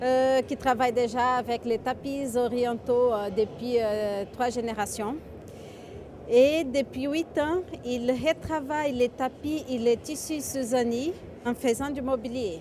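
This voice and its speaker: A woman's high voice with a slight Brazilian accent, very slow pace and ordinary pitch variation, over noticeable background noise. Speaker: natural materials distributor. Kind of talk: product presentation.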